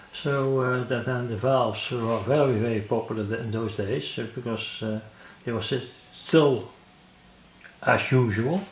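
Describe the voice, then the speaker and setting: A medium-pitched man at a fairly slow pace, with ordinary pitch variation, long, frequent pauses, noticeable background noise and audible room echo. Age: 70s. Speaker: electronics hobbyist. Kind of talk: tutorial. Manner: halting, many fillers.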